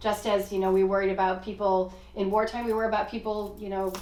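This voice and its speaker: Noticeable background noise and audible room echo surround the recording. A woman speaks at a fairly quick pace, medium in pitch and monotone, flat in intonation. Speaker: physician. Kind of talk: podcast discussion. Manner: fast.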